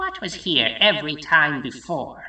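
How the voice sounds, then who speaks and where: The speaker uses a put-on character voice. A slight echo can be heard. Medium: short film. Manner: formal, pompous.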